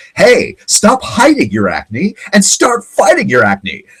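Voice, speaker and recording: A man puts on a character voice and delivers his lines fairly slowly. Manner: happy, cheerful.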